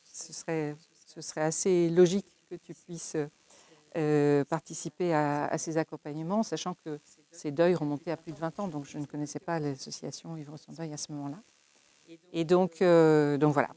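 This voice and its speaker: Woman's very deep, low voice, dark and mellow in tone, monotone and flat, with big swings in loudness and long, frequent pauses. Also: dry, close sound with no echo. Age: 70s. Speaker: bereavement support volunteer. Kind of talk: interview testimony. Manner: hesitant, many fillers.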